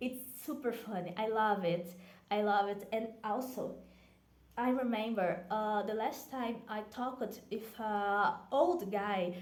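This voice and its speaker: A woman with a Brazilian accent speaks very slowly in a fairly high pitch, her pitch varying in an ordinary way. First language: Portuguese. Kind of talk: casual talk to camera.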